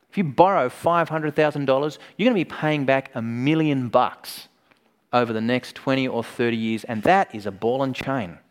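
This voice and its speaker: The speaker talks at a moderate pace with ordinary pitch variation in an Australian accent. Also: man, medium pitch for a man. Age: 40s. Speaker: preacher. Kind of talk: sermon. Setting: conference.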